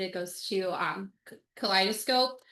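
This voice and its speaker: Her voice is loud, with a bright, sharp tone. The background behind the woman stays quiet. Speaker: supporters' group board member. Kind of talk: meeting report. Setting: video call.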